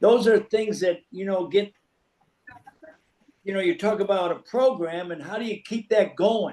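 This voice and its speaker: With an American accent, a man speaks at a moderate pace in a high pitch, with ordinary pitch variation and long, frequent pauses. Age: 80s+. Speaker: former college basketball player. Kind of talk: casual chat.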